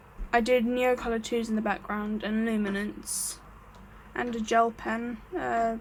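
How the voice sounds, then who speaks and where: This woman's voice is fairly high and somewhat breathy. Her intonation stays flat and monotone at a moderate pace. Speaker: art hobbyist video maker. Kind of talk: casual show-and-tell. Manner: hesitant, many fillers; pitch drifting higher.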